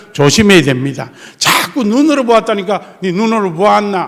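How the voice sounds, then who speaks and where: Speaking in a strong Gyeongsang accent, a man with a high pitch and animated tone swings very widely in pitch, amid audible room echo and noticeable background noise. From South Korea, Gyeongsang coast (Tongyeong/Geoje). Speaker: pastor. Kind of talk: sermon.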